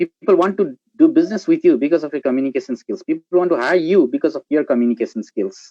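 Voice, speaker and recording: A man with a Nepali accent talks at a fairly quick pace. The sound is dry and close, with no echo. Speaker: guest speaker, marketing professional. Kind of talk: live panel discussion.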